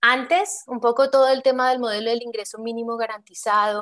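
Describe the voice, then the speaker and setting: Set against a quiet background, the clip carries an unremarkable speaking voice. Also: woman. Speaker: public infrastructure finance expert, panelist. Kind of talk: panel discussion.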